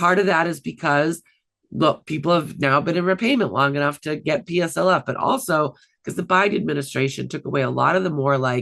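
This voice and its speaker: Fairly quick speech against a quiet background. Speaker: student loan expert. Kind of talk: presentation. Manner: fast.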